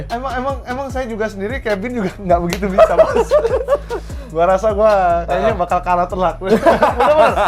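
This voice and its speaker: Music plays in the background as a man talks at a fairly quick pace. His pitch is high, with ordinary variation. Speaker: voice actor. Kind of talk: casual conversation.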